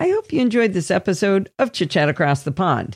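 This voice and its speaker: Against a quiet background, a woman with vocal fry speaks at a fairly quick pace, her pitch swinging very widely, in a dry, close recording with no echo. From United States. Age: 60s. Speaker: podcast host. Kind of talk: casual interview chat; scripted outro.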